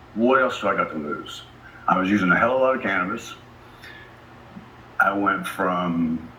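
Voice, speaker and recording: A man talks in a space with audible room echo, noticeable background noise around him. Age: 50s. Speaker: conference speaker. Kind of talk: talk to an audience. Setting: stage with audience. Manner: animated.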